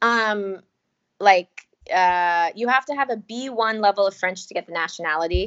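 A woman's ordinary speaking voice with an American accent, medium in pitch, at a moderate pace with ordinary pitch variation. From US South, North Carolina. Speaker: podcast writer and teacher. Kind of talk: casual chat. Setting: video call.

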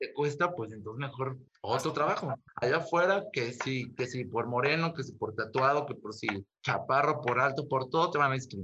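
A man speaks fairly quickly in a medium pitch. His intonation shows ordinary variation. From Mexico, Ciudad Nezahualcóyotl. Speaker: photographer. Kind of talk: interview. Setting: video call.

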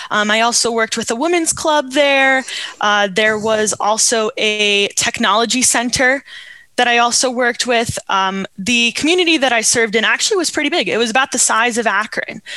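A woman with an American accent, fairly high-pitched, bright and sharp, energetic in tone, with ordinary pitch variation, very even loudness and a moderate pace. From New York, Hudson Valley. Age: 20s. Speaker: Rotarian, volunteer. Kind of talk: radio interview.

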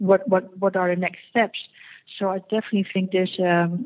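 A woman speaks with a Dutch accent at a medium pitch. Her pace is fairly quick and her intonation monotone and flat. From Netherlands. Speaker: fertility clinic executive. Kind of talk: interview. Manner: halting.

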